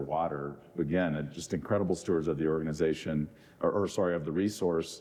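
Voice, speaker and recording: The speaker has an American accent. The delivery is monotone, with flat intonation. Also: man. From US South (Florida, then Mississippi). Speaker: golf tournament organizer and real estate executive. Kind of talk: panel Q&A. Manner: halting with many fillers.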